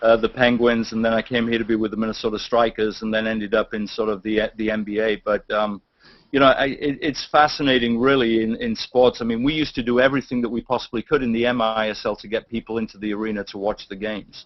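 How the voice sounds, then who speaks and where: A man talks very fast in a British accent, with hardly any pauses. His intonation is monotone and flat. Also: medium pitch for a man. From England. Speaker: sports team executive. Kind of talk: casual interview. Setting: video call.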